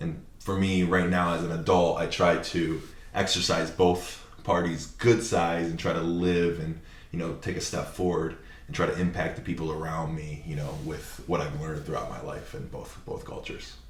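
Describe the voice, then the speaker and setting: Audible room echo around a man's very deep, low voice and fairly even intonation. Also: moderate pace. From Japan. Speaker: videographer and content creator. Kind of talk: podcast interview.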